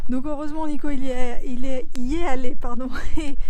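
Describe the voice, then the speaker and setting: Here a woman talks at a high pitch. Her intonation is fairly even. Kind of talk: travel vlog narration. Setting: outdoors and touring a château. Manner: hesitant, many fillers.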